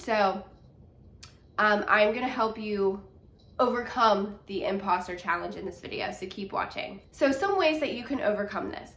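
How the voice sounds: A woman speaks at medium pitch with a nasal, fairly bright tone. Her pace is moderate, with ordinary pitch variation.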